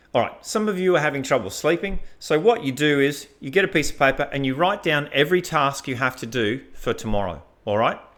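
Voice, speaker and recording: This is a man with an ordinary speaking voice, fairly high in pitch and lively in intonation. He talks at a fairly quick pace with hardly any pauses, on a very clean recording with a silent background. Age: 50s. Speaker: fitness and productivity coach. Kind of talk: motivational talk. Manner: casual, conversational.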